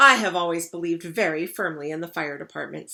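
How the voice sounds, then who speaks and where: This is a put-on character voice that sounds female. It talks very fast at a middle pitch. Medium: read story. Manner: formal, earnest.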